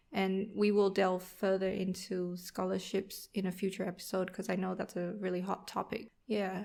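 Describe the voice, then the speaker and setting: A woman's medium-pitched, dark, mellow voice with a Vietnamese accent, monotone and flat, at a moderate pace with hardly any pauses. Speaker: podcast co-host, accountant. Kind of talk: casual podcast chat.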